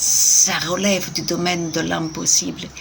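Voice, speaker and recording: Soft-spoken talking comes through over noticeable background noise. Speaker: tarot card reader. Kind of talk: card reading.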